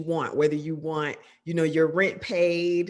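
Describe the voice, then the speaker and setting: A woman's ordinary speaking voice, fairly low in pitch, at a moderate pace on a very clean recording with a silent background. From US South, Georgia. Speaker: film and television director. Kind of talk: interview.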